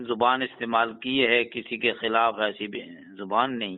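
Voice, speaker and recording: The speaker has a normal speaking voice and fairly even intonation. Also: man. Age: 60s. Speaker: Islamic scholar, caller. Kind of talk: casual chat.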